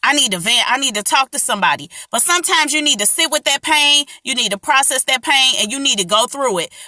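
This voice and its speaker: Talking very fast in a raised, projected voice, a woman with a high pitch uses lively intonation, the sound dry and close with no echo. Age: 30s. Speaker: artist and small business owner sharing coping tips. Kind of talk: casual live stream talk. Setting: social media live stream.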